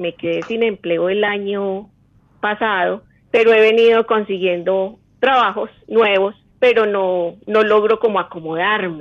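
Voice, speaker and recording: Speaking at a fairly slow pace, a woman with an ordinary speaking voice keeps a medium pitch and fairly even intonation. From Colombia, Manizales. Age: 50s. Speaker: caller. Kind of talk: phone call consultation.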